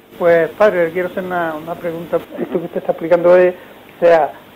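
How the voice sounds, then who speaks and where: With noticeable noise behind him, a man talks at a high pitch. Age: 70s. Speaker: caller. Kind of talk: phone-in question. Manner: halting.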